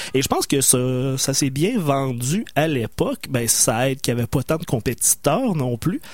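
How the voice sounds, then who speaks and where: This man has a plain, everyday voice, pitched fairly high, moving at a moderate pace with ordinary pitch variation. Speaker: radio co-host. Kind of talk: casual chat.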